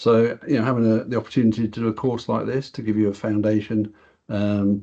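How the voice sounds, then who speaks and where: Over a quiet background, a man with a British accent talks at a fairly quick pace in a dark, mellow tone with fairly even intonation. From England. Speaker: software product director and quantity surveyor; software trainer presenting. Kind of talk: webinar presentation. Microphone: video call.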